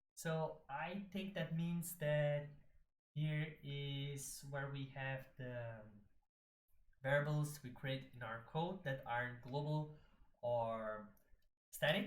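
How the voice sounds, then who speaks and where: With a non-native accent, the speaker goes at a very slow pace with long, frequent pauses. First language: not English. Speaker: streamer learning hacking. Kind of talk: live-stream tutorial, thinking aloud. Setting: live stream. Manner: halting, many fillers.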